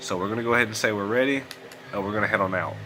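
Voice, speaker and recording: There is noticeable background noise behind this man. He speaks at a medium pitch with a Southern US accent. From US South. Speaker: gaming YouTuber. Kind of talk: let's play commentary. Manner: casual, conversational. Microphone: poor audio quality.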